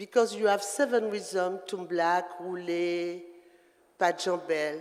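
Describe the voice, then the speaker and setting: Noticeable background noise runs under the speech. The speaker has a French accent. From Guadeloupe. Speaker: dancer. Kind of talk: artist talk to audience. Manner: halting.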